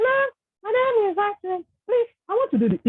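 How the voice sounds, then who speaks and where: In a squeaky, put-on character voice at an extremely high pitch, a woman speaks at a fairly quick pace with very even loudness. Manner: disguised voice.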